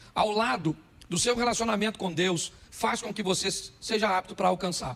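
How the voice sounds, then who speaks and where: A man speaks with a bright, sharp tone. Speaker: pastor. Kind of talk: sermon. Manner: fast.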